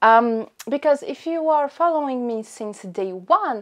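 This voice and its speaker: At a fairly slow pace, a woman speaks at a high pitch. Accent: French. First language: French. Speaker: fashion YouTuber. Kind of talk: unboxing vlog. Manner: animated.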